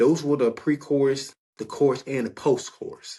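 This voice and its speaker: His voice is fairly high and somewhat breathy. The man has an American accent. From Maryland via Florida. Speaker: podcast host, music reviewer. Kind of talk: music commentary podcast. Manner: casual, hesitant with fillers.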